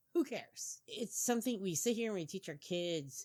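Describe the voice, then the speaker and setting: A woman's Midwestern American accent at a moderate pace, in a very clean recording with a silent background. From US Midwest. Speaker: podcast co-host. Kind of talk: opinion monologue. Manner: animated.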